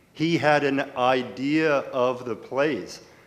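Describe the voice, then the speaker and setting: A man talking at a medium pitch is heard with audible room echo. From rural Manitoba, Canada. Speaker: lawyer asking a question from the audience. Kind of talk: audience question at a conference panel. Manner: halting, with self-corrections.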